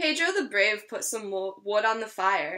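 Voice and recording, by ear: A woman speaks at a fairly slow pace with a bright, sharp tone, lively intonation and a medium pitch.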